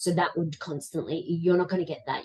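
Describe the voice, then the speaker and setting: A woman's fairly even intonation in an Australian accent. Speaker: life coach. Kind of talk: interview answer.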